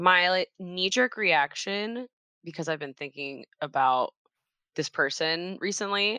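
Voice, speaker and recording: With a Midwestern American accent, a woman speaks very slowly in a fairly low, bright, sharp voice with lively intonation, the sound dry and close with no echo against a quiet background. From Cincinnati, Ohio. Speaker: church children's ministry director. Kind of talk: casual interview. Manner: casual, filler-heavy.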